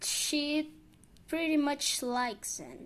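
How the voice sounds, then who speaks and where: This woman has a non-native accent. She talks very slowly. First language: not English. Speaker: video essayist. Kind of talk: character analysis monologue. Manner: halting, stumbles over words.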